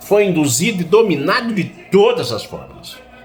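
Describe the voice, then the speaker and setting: A man at a fairly slow pace with lively intonation, amid audible room echo and music in the background. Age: 60s. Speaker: political commentator. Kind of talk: political monologue.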